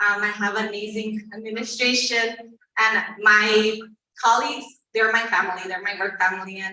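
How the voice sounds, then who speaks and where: A woman speaks with a Spanish accent in a fairly high-pitched voice. Her intonation is monotone and flat, and audible room echo surrounds her. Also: moderate pace. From Tornillo, Texas (El Paso area). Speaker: teacher. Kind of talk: panel interview.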